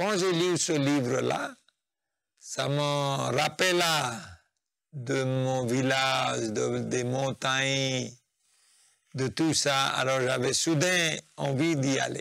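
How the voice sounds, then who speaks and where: Speaking at a very slow pace with long, frequent pauses, a man with a Nepali accent uses a medium pitch and fairly even intonation. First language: Nepali (speaking French). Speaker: spiritual practitioner, interviewee. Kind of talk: interview, life story. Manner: halting.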